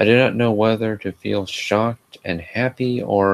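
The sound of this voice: The speaker reads in an unforced reading voice, keeping the intonation fairly even.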